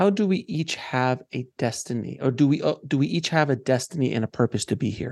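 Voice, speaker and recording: A man speaks at a fairly quick pace with medium pitch, lively intonation and hardly any pauses, in a dry, close sound with no echo over a quiet background. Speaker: podcast host. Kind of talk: interview podcast. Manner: halting, many filler words.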